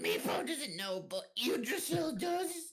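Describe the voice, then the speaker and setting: This man uses a put-on character voice. It is pitched extremely high. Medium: actual play. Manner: broken grammar, third person.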